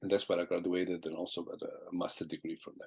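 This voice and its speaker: With an Italian accent, a man talks at a very fast pace. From southern Italy. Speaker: jazz guitarist. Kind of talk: interview. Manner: halting.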